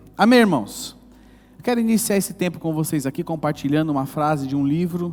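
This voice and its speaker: A man's rather high voice comes through on a very clean recording with total silence in the background. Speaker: pastor. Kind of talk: sermon. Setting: church service. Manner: animated.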